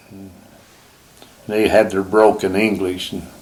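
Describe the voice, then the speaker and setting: Spoken at a moderate pace in a flat, monotone delivery with an American accent, this clip has noticeable background noise. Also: man. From Utah (Provo). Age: 80s+. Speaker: retired hunter and fisherman. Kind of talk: casual chat.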